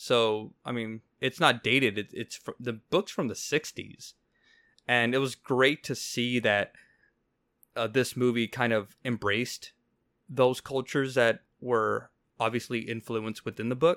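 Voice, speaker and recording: Bright, sharp male tone, very cleanly recorded against a silent background. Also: medium pitch for a man, fairly slow pace. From Mexico. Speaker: film podcast host. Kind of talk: casual chat. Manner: animated.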